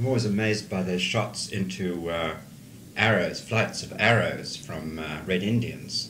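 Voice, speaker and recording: Noticeable background noise sits under a man speaking in a fairly low register. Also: ordinary pitch variation, fairly slow pace. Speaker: interviewer.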